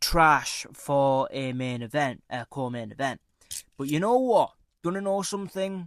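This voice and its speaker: On a very clean recording with a silent background, a man with a British accent and a fairly high pitch speaks with lively intonation. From UK. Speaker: MMA predictions YouTuber. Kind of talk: casual commentary monologue. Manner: casual, with many fillers.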